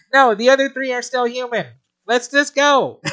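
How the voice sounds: Using a put-on character voice at an extremely high pitch, a man speaks at a moderate pace.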